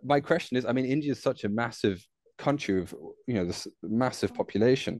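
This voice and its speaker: A plain, everyday voice at a fairly quick pace, with ordinary pitch variation over a quiet background. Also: man, medium pitch for a man. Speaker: podcast host. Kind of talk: interview.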